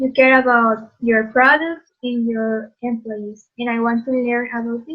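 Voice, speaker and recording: A woman speaks with a Spanish accent at a fairly slow pace. Her pitch is high and her intonation fairly even. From Mexico. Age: 30s. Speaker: job candidate. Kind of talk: role-play job interview.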